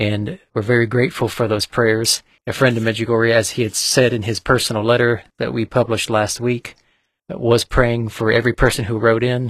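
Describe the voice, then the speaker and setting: On a very clean recording with a silent background and a dry, close sound with no echo, a man with an unremarkable speaking voice talks at medium pitch with fairly even intonation. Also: moderate pace. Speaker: radio co-host and community member. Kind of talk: formal broadcast introduction and welcome. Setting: radio studio.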